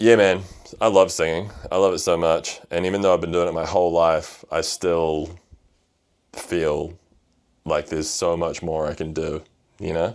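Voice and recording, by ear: A man speaks at an extremely low pitch, with a slightly mellow tone. His intonation is fairly even and his pace fairly slow.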